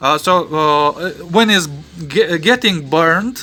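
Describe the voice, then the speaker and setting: Very slow speech in a non-native accent, with lively intonation and a bright, sharp tone. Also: man. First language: not English. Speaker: electronics hobbyist and painter. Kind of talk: tutorial. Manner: halting, many fillers.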